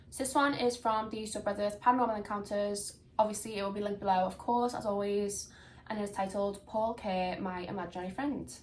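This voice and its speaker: With a Liverpool accent, a woman speaks at medium pitch with fairly even intonation, and audible room echo is present. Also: fairly quick pace. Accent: Liverpool (Scouse). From Liverpool, England. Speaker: podcast host, story reader. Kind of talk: casual chat and reading aloud. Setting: home room on camera. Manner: chatty, informal.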